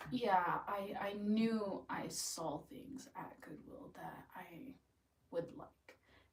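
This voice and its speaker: A woman speaks at a very slow pace in a medium pitch, her voice somewhat breathy. Her intonation is lively, with big swings in loudness. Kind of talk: casual chat.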